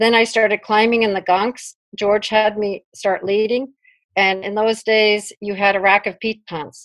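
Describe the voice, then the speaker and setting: With a New York accent, a woman speaks at a fairly slow pace in a fairly high pitch and a monotone, flat intonation. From US Northeast, Brooklyn. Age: 60s. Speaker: climber. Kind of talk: interview.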